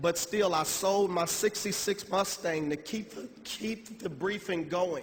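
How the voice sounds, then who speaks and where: Amid noticeable background noise, a man speaks at a very slow pace in a high pitch. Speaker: motivational speaker. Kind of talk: motivational speech. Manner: halting; emotional.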